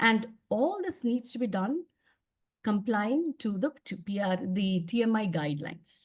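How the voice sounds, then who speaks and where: Her voice somewhat breathy and fairly high, a woman speaks at a fairly slow pace as her pitch swings very widely. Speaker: public speaking trainer. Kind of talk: training presentation.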